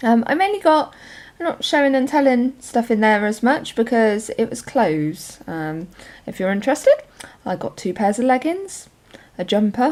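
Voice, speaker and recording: Her voice high and swinging very widely in pitch, a woman with a West Country accent speaks at a moderate pace. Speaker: journaling vlogger. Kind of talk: casual show and tell. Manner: chatty, hesitant with many ums.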